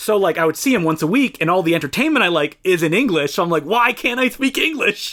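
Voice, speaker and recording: With a slight French Canadian accent, a man talks at a fairly quick pace. His pitch is high and swings very widely. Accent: slight French-Canadian accent on some words. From Eastern Ontario, Canada (Franco-Ontarian, near Ottawa). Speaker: podcast co-host. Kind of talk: casual chat.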